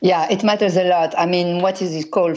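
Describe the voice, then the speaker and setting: A woman with a French accent speaks at a moderate pace and a fairly low pitch. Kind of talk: interview.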